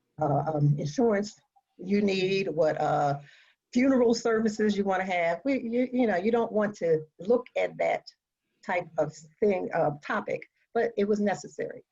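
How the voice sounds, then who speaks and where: A woman with an American accent speaks at a moderate pace and medium pitch, her tone dark, mellow and somewhat breathy, with lively intonation. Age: 60s. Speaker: patient advocate living with metastatic breast cancer. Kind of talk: panel discussion. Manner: halting.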